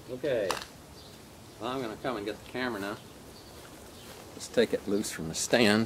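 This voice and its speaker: Amid noticeable background noise, a man with a medium pitch talks at a fairly quick pace, broken by long, frequent pauses. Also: ordinary pitch variation, big swings in loudness. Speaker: slingshot hobbyist video maker. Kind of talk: casual tutorial demonstration. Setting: outdoors.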